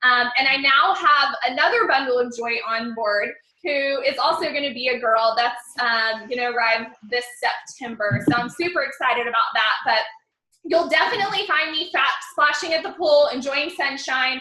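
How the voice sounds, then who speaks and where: A woman projects her raised, high-pitched voice. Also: lively intonation, moderate pace. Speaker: success coach and personal branding mentor. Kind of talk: live webinar training. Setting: online webinar. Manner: animated.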